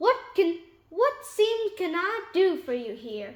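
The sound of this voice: A gruff, put-on character voice at extremely high pitch swings very widely in pitch while moving at a fairly slow pace.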